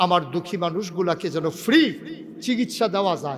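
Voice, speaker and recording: Over noticeable background noise, a high-pitched man speaks with ordinary pitch variation. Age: 50s. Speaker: Islamic preacher. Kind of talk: sermon. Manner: animated.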